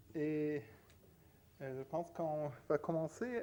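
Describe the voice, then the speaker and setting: At a very slow pace, a man talks with a non-native accent. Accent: non-native French speaker. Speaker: academic panel moderator. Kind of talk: conference moderation. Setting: conference with audience. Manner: halting, many hesitations.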